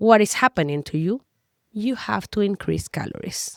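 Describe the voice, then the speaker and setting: With a Spanish accent, a woman's voice swings very widely in pitch, and the recording is very clean and dry, close with no echo over a silent background. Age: 40s. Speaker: health and nutrition coach. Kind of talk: educational talk to camera.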